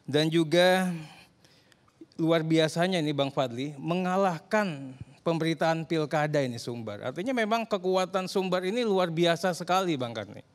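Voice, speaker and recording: Against a quiet background, a man uses a high pitch and lively intonation. He talks at a moderate pace. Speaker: politician; politician guest on talk show. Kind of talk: talk show panel discussion. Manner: long-winded. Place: studio. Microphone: handheld.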